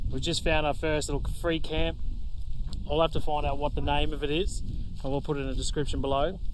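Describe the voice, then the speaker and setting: The man talks at a fairly quick pace. Noticeable background noise sits behind him. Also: dry sound with no echo. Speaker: travel vlogger. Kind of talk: casual vlog chat. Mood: relaxed, upbeat. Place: open country. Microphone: phone near.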